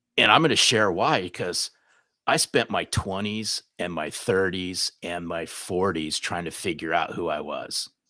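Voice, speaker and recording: A man's very deep, low voice with a bright, sharp tone and ordinary pitch variation, fairly slow, dry and close with no echo, on a very clean recording with a silent background. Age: 60s. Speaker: sales author and trainer. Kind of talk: podcast interview.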